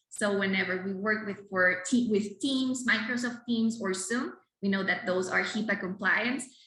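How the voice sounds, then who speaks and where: A woman with a Spanish accent speaks at a moderate pace, her medium pitch showing ordinary variation. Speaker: clinical psychologist. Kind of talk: lecture. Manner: halting.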